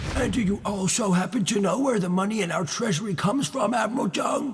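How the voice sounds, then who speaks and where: A man puts on a character voice, high in pitch. He talks at a very fast pace over clear background noise. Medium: fan dub. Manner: needling, skeptical.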